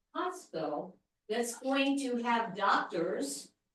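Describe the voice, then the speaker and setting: Audible room echo hangs around the recording. The voice belongs to a woman. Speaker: public commenter at town meeting. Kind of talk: public comment at planning meeting. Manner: animated.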